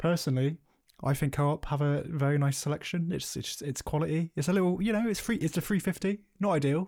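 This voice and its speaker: A man mumbling at a very fast pace with a British accent, fairly high in pitch with ordinary pitch variation, on a very clean recording with a silent background. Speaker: film podcast co-host. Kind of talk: casual chat. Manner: mumbles and stutters.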